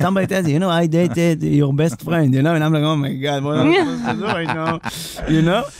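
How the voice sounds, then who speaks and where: A man's fairly high-pitched voice, ordinary pitch variation, and noticeable background noise. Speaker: comedian. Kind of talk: casual chat. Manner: animated.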